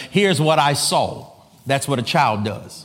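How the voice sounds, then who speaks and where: A man talks in an animated tone, his pitch swinging very widely, while noticeable background noise runs underneath. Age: 40s. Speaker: preacher. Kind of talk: sermon.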